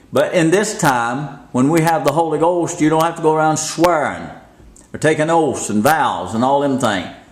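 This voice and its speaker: In an American accent, a man with a fairly high pitch, an animated tone, ordinary pitch variation and very even loudness speaks amid audible room echo. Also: moderate pace. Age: 70s. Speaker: street preacher / religious video maker. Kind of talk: preaching rant. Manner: animated, emphatic.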